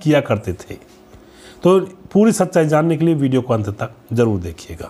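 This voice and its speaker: A man speaks at a fairly slow pace. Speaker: channel host. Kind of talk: narrated biography. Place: studio. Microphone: lapel.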